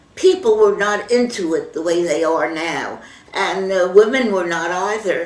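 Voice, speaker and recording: Noticeable background noise runs under a woman speaking with ordinary pitch variation. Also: medium pitch for a woman, fairly slow pace. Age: 80s+. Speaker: grandmother voter. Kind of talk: interview answer.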